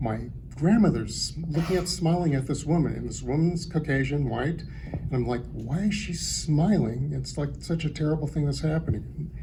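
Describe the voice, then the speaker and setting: With an American accent, a man mumbles at a moderate pace, with audible room echo and noticeable background noise. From San Francisco Bay Area, California. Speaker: artist. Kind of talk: panel talk. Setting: gallery panel with audience. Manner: mumbling.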